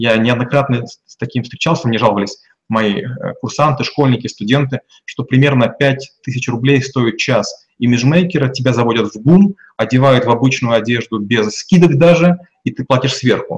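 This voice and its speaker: A man talks in a somewhat breathy, medium-pitched voice. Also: ordinary pitch variation, moderate pace. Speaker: business consultant. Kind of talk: interview.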